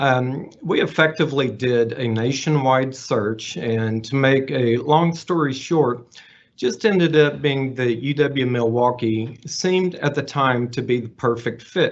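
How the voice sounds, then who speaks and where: Speaking in a Texas accent at a fairly slow pace, a man uses a medium pitch with ordinary pitch variation and hardly any pauses. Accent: Texas twang. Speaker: associate professor and donor. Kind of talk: prepared speech.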